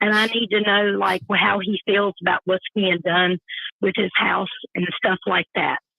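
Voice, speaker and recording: Fairly even intonation and very even loudness at a fairly slow pace, with a Southern accent. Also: woman, medium pitch for a woman. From North Carolina. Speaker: caller. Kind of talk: call-in conversation.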